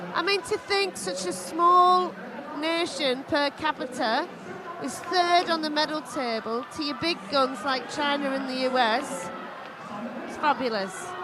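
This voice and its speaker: A woman's raised, projected voice with a British accent, high pitch and lively intonation, at a fairly slow pace, with audible room echo and crowd noise in the background. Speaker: swimming commentator. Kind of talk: live commentary. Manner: animated.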